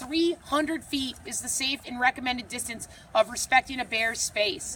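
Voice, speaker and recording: A woman speaks in a raised, projected voice with an animated tone. Her pitch varies in an ordinary way. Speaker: outdoor guide and trainer. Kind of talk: presentation to a group.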